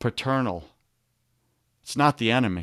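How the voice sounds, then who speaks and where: Recorded very cleanly with a silent background and a dry, close sound with no echo, a man with a Long Island accent speaks at a medium pitch with lively intonation. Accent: New York (Long Island). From Long Island, New York. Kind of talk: motivational talk with faith content. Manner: animated, preacher-like.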